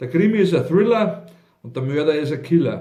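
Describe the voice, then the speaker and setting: This man's voice sits high in pitch and moves with lively intonation in a Bavarian accent. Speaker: cabaret artist and author. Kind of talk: humorous dialect poetry reading.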